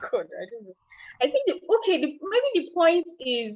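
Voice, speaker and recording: A woman with a Nigerian accent speaks at a fairly slow pace with very wide pitch swings. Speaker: aspiring entrepreneur, virtual assistant. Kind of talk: coaching session. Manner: halting.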